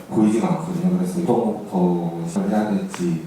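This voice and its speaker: Amid noticeable background noise and audible room echo, a man's voice makes very wide pitch swings. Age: 20s. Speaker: university student in the audience. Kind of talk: audience question.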